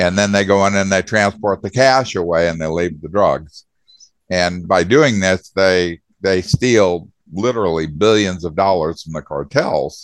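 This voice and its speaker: A man's very deep, low voice with an American accent, ordinary pitch variation and a fairly slow pace. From US Southwest. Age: 70s. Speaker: author and veteran. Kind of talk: casual interview.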